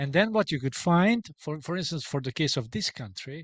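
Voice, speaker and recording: A man with a Hungarian accent speaks at a moderate pace in a somewhat breathy voice, with a dry, close sound, no echo and a quiet background. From Hungary. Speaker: sociologist and book author. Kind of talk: academic Q&A. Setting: hybrid book launch event. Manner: hesitant, many filler sounds.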